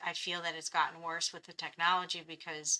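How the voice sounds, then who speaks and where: A woman talks at a moderate pace. She has a plain, everyday voice. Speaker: podcast host. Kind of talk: casual podcast conversation.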